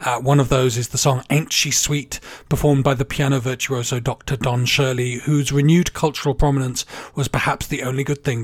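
A man speaks at a medium pitch and a fairly quick pace. His voice is somewhat breathy, with monotone, flat intonation. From England. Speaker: podcast host. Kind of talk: casual chat.

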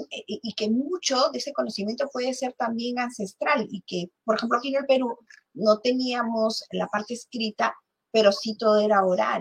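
A woman with an unremarkable speaking voice, fairly high in pitch, talks at a moderate pace with ordinary pitch variation in a dry, close sound with no echo. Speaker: podcast host. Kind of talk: interview.

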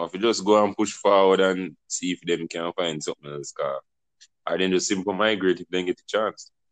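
A man with a Jamaican accent speaks at a fairly quick pace with fairly even intonation. His pitch is very deep and low, and the sound is dry and close with no echo. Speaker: podcast host. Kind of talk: casual discussion.

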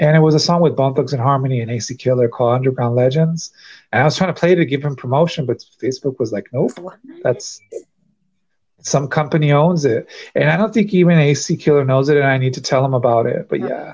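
Very fast and somewhat breathy, a man speaks at a fairly high pitch with ordinary pitch variation. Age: 30s. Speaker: podcast host. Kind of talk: casual chat.

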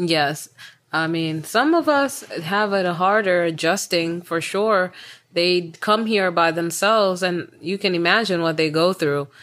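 A woman talks at a fairly slow pace with a fairly low pitch. She has an ordinary speaking voice, with ordinary pitch variation. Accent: American. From Tanzania, with childhood in the US. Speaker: podcast co-host. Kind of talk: casual chat.

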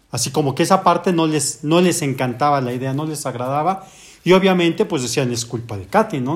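Somewhat breathy and fairly quick, a man with a fairly high pitch speaks with lively intonation. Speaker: orthopedic surgeon. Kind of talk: casual chat. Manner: soft-spoken.

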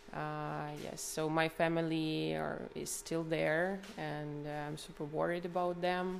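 A woman with a Ukrainian accent speaks at a fairly slow pace with hardly any pauses, and audible room echo surrounds her voice. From Ukraine, Kharkiv region. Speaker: Ukrainian refugee. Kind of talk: street interview.

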